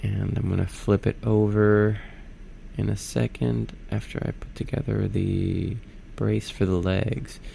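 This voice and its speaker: Noticeable noise runs in the background. Over it, a man talks fairly slowly. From Puerto Rico (Arecibo). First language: Spanish. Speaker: YouTuber. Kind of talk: casual voiceover narration. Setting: home studio apartment. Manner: halting, many fillers.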